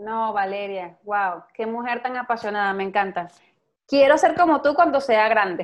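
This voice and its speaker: A woman with a fairly high pitch and lively intonation speaks at a fairly slow pace over a quiet background. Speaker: podcast host. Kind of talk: interview. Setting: at home. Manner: animated.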